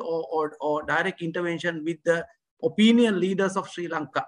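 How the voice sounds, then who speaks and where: Quiet surroundings, with a man talking at a moderate pace. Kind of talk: welcome speech. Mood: polite and formal. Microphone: video call.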